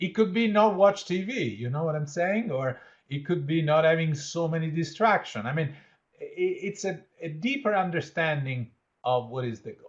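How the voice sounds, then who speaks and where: At a moderate pace, a man talks in a high voice with lively intonation. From Italy. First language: Italian. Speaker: leadership educator and change consultant. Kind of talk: interactive workshop. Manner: conversational, with fillers.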